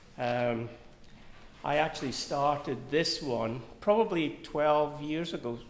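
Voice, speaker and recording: Fairly high pitch from a man, in audible room echo. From Scotland. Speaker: artist and drawing teacher. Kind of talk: artist talk interview. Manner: halting, with many fillers.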